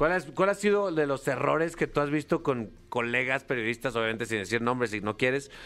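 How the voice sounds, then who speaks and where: A man with an unremarkable speaking voice at medium pitch talks fairly quickly with lively intonation and hardly any pauses, in a very clean recording with a silent background. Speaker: radio host. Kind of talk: casual banter. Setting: radio studio.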